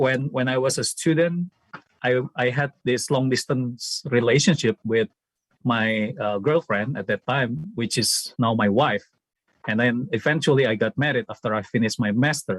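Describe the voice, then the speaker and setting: A man speaks with an Indonesian accent at a medium pitch and fairly slow pace. His pitch varies in an ordinary way, and the sound is dry and close with no echo. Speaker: former student, theology academic. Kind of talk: memorial tribute speech.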